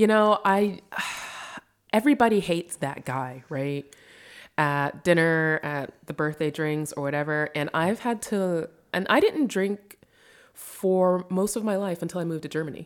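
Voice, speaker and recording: In a very clean recording with a silent background, a woman with an American accent speaks at a moderate pace. She has a normal speaking voice, fairly low in pitch, with ordinary pitch variation. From US. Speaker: novelist living in Berlin. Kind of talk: casual chat. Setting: kitchen table, in person.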